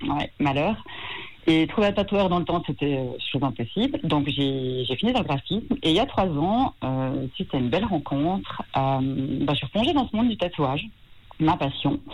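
Amid noticeable background noise, a woman with a fairly low pitch talks at a moderate pace, using very wide pitch swings and long, frequent pauses. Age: 50s. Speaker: tattoo artist. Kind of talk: radio phone interview. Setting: phone call.

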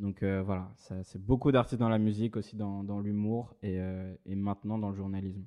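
With a dark, mellow tone, a man speaks at a fairly low pitch in monotone, flat intonation at a moderate pace. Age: 20s. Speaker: journalist and interviewer. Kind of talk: casual interview chat. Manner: hesitant, many repetitions.

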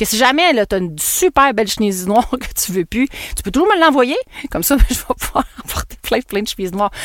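Through noticeable background noise, a woman speaks at a fairly high pitch and a fairly quick pace. Her pitch swings very widely. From Quebec. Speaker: podcast host and marketing entrepreneur. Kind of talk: casual monologue podcast. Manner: animated.

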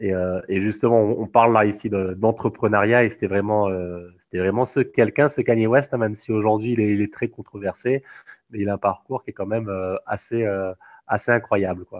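A man speaks at a moderate pace and a fairly low pitch with fairly even intonation. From Réunion. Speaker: sports coach. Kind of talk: interview. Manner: halting.

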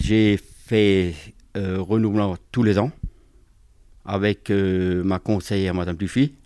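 A man's fairly low, dark and mellow voice at a very slow pace, with fairly even intonation, long frequent pauses and a very clean recording over a silent background. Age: 50s. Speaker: municipal worker. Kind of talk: testimony.

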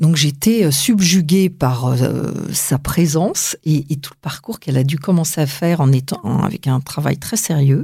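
Speaking at a fairly slow pace with hardly any pauses, a woman uses a very deep, low voice with ordinary pitch variation. Her tone is dark and mellow, and somewhat breathy. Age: 50s. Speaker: aspiring actress and justice mediator. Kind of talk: interview. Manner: hesitant.

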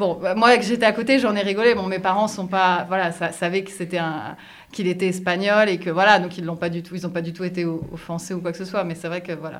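A woman's normal speaking voice, medium in pitch, fairly quick and fairly even in intonation. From France. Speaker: French expat in a binational couple. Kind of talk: interview.

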